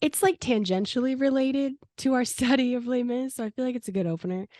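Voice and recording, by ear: A woman talks at a high pitch and a fairly quick pace, with a dark, mellow tone and ordinary pitch variation. The sound is dry and close, with no echo. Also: very clean recording, silent background.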